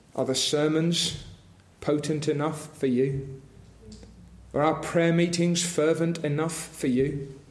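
Over noticeable background noise, a man with a fairly high pitch speaks very slowly in a flat monotone, keeping very even loudness and leaving long, frequent pauses. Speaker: preacher. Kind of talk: sermon with fervent, pleading prayer for revival. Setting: church. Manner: fervent, earnest, pleading, imploring; repetitive, rhythmic pleading.

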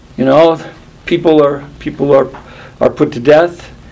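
The intonation stays fairly even while noticeable background noise runs underneath. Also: man. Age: 70s. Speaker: pastor. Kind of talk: sermon. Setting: church.

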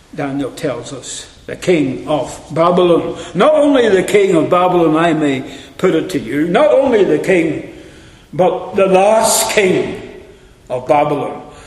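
The speaker goes at a very slow pace with lively intonation and big swings in loudness, over noticeable background noise. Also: man. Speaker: preacher. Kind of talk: sermon, expository Bible teaching with opening prayer. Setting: church. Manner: earnest, solemn, devotional; measured, didactic, warmly encouraging.

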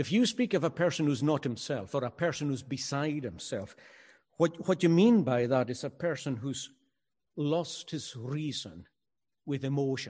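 In a Highland Scottish accent, a man talks at a moderate pace with lively intonation. His voice is somewhat breathy and fairly high in pitch, set against a quiet background. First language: Scottish Gaelic. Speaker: pastor. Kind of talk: sermon. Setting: church, also streamed online.

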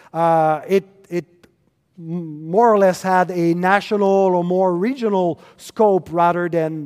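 A man speaks fairly slowly in a high pitch. His intonation stays fairly even. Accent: French Canadian. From Quebec. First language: French. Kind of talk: lecture. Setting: conference stage with audience. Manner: halting, many fillers.

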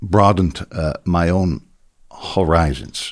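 Heard in a dry, close recording with no echo, a man talks at a very slow pace. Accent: Dutch. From Netherlands. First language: Dutch. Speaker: pastor. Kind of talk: interview. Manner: halting.

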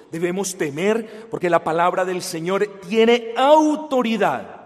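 Through noticeable background noise, a man with a high pitch speaks at a fairly slow pace with lively intonation. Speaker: preacher. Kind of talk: sermon. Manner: loud, raised voice at times.

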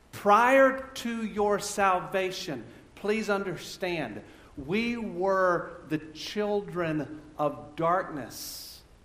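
A man speaks at a high pitch and a very slow pace, with lively intonation. Audible room echo surrounds the voice. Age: 50s. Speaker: pastor. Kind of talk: sermon. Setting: church. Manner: halting.

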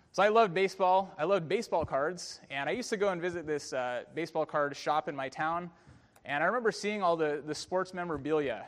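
Talking at a very fast pace with an American accent, a man uses a high pitch with ordinary pitch variation. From US, San Francisco Bay Area. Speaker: pastor. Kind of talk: sermon. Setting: church.

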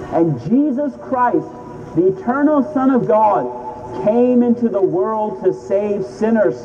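Over noticeable background noise, a man talks at a very slow pace in a high pitch, with very wide pitch swings and very even loudness. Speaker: street preacher. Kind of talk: open-air gospel sermon. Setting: outdoors on a city street.

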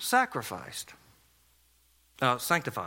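A man speaks with a South Carolina accent. His voice is raised and projected. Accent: Southern US (South Carolina). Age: 40s. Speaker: pastor. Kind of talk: sermon.

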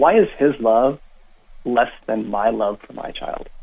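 This is a man speaking. His pace is very slow. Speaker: caller. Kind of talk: call-in debate. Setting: phone call.

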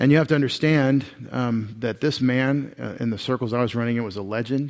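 This very clean recording has a silent background. A man with a Texan accent talks at a fairly quick pace with fairly even intonation. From East Texas. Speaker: pastor. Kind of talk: sermon.

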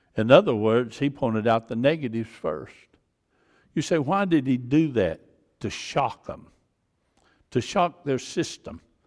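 A medium-pitched man with a Georgia accent, fairly slow, with very wide pitch swings and long, frequent pauses, on a very clean recording with a silent background. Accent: US South (Georgia). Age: 70s. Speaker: pastor. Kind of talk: sermon. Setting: church.

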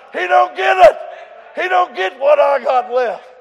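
With crowd noise in the background, a man speaks in an extremely high pitch with lively intonation. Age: 70s. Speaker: preacher. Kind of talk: sermon. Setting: church.

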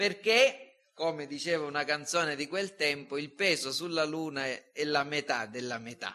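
An unremarkable speaking voice belongs to a man with a fairly high pitch. He keeps a moderate pace and ordinary pitch variation. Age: 50s. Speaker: pastor. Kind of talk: sermon.

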